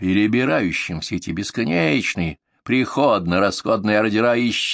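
Pitch varies in an ordinary way through a natural reading voice. Behind it, all is quiet.

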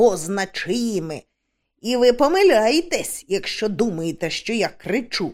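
Lively intonation marks a natural reading voice set against a quiet background.

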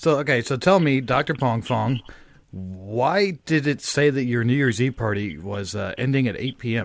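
Over a silent background in a very clean recording, a man with an ordinary speaking voice talks at a moderate pace. His pitch sits in the middle range, and his intonation is lively. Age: 30s. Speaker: podcast host. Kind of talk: casual chat. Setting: studio.

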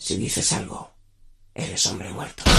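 A raspy, guttural put-on character voice at a moderate pace. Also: man, fairly low pitch for a man. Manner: menacing, whispering.

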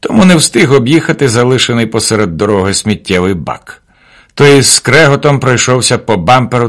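What you hear here is plain reading aloud.

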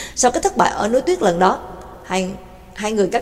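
The speaker uses a natural reading voice. Nothing else stands out.

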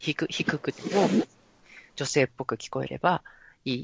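With vocal fry, a woman talks at a fairly quick pace. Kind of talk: casual chat.

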